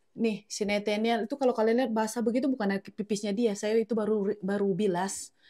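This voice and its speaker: Someone speaks at a fairly quick pace in a very clean recording with a silent background. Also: woman. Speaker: home cooking vlogger and mother. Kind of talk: casual cooking vlog. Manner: chatty, animated.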